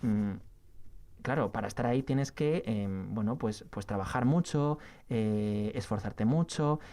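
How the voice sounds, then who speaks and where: Dark and mellow in tone, a man's voice shows ordinary pitch variation. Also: medium pitch for a man, very clean recording, silent background. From Spain, Asturias. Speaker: TV news journalist. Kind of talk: interview. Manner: fast; talkative, many fillers.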